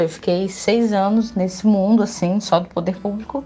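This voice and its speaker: The speaker has an unremarkable speaking voice. The pace is fairly slow and the intonation fairly even. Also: woman. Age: 20s. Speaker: advertising student. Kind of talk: casual interview.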